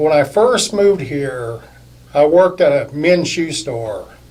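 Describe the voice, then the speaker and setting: A man pitched fairly high talks very slowly while noticeable background noise plays. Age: 60s. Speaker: insurance agent, boxing fan. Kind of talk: casual interview chat.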